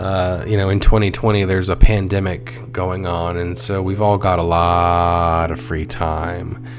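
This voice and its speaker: With music in the background and audible room echo, a man with a very deep, low pitch speaks in a relaxed tone at a fairly slow pace, with ordinary pitch variation and hardly any pauses. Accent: American. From United States. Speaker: let's play gamer. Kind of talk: casual gameplay commentary. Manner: rambling, relaxed.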